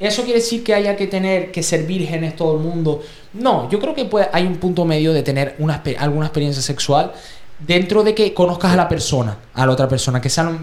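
A man's high-pitched voice at a fairly quick pace with lively intonation, amid noticeable background noise and audible room echo. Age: 20s. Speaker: podcast host. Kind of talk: casual chat.

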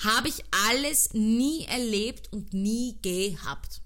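Audible room echo surrounds a woman with a Viennese accent who speaks in an animated tone. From Austria, Vienna (Donaustadt). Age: 30s. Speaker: podcast host, dancer. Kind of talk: casual solo podcast monologue.

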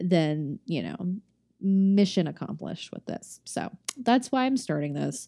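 Her tone dark and mellow, a woman speaks at a medium pitch and a fairly slow pace, with very wide pitch swings and big swings in loudness. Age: 20s. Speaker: solo podcast host. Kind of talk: casual monologue. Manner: rambling, chatty.

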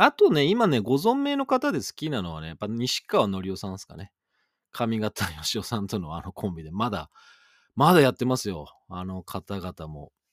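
A man with a normal speaking voice talks at a fairly low pitch and moderate pace, with lively intonation and big swings in loudness. The recording is very clean with a silent background and a dry, close sound with no echo. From western Japan. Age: 40s. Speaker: radio DJ. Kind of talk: solo radio talk. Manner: casual, chatty.

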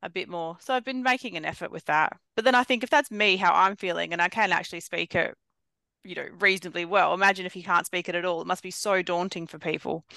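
A woman with an Australian accent speaks at a very fast pace and medium pitch, her tone bright and sharp, her loudness swinging widely, in a dry, close sound with no echo against a quiet background. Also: ordinary pitch variation. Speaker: podcast host. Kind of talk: casual chat.

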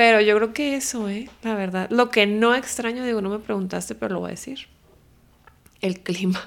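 At a moderate pace, an unremarkable speaking voice keeps its intonation fairly even. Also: woman, fairly high pitch for a woman. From Culiacán, Sinaloa, northwestern Mexico. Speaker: podcast guest, host's wife. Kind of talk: casual chat.

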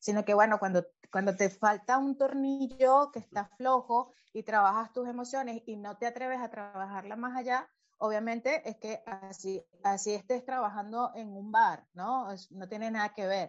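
With music in the background, a woman with a Venezuelan accent speaks at a moderate pace and fairly high pitch, using fairly even intonation but big swings in loudness. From Venezuela (Caracas, Valencia). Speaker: actress, director and acting coach. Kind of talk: interview. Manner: halting, with many repetitions.

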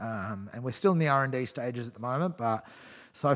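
A man at medium pitch, talking at a very fast pace. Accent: Australian. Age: 30s. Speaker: environmental campaigner. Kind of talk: casual chat. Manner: animated.

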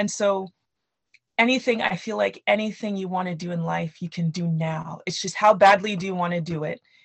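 A somewhat breathy woman at a fairly quick pace, with ordinary pitch variation. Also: medium pitch for a woman. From Canada, Nigerian parents. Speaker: children's book author. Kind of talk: interview.

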